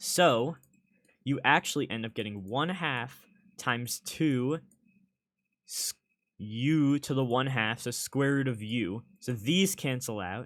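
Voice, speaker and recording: Speaking very slowly with long, frequent pauses, a man keeps a medium pitch and ordinary pitch variation, captured on a very clean recording against a silent background. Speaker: tutor. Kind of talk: tutorial.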